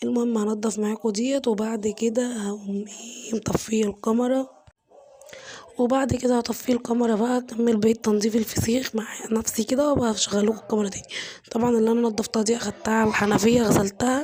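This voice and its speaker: With an Egyptian accent, a woman talks at a fairly quick pace in a fairly high pitch and monotone, flat intonation, over noticeable background noise. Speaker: home cooking vlogger. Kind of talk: cooking tutorial. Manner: casual, chatty.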